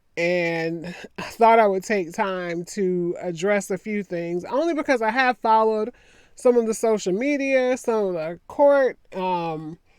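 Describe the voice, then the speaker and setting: Over a silent background on a very clean recording, a woman with a Southern US accent and a medium pitch speaks at a fairly slow pace with lively intonation. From US South. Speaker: attorney and commentary vlogger. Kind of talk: casual commentary monologue.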